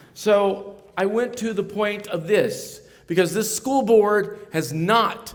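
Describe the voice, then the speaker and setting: A man speaks loudly with an American accent. His intonation is lively. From Ohio. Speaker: pastor. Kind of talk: political speech. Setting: stage with audience.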